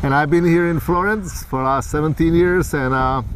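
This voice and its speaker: Over noticeable background noise, the speaker moves at a fairly quick pace with ordinary pitch variation. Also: man. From Czech Republic, Prague. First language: Czech. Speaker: psychologist, trail rider. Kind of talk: casual interview.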